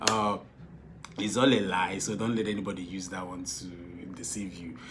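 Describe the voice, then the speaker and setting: A man with a Nigerian accent speaks at a moderate pace in a very deep, low voice, his loudness swinging widely. Audible room echo and noticeable background noise surround him. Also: fairly even intonation. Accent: Igbo-accented Nigerian English. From Nigeria, Igbo. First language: Igbo. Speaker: film director and producer. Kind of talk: casual advice talk to followers. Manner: repetitive, halting with fillers.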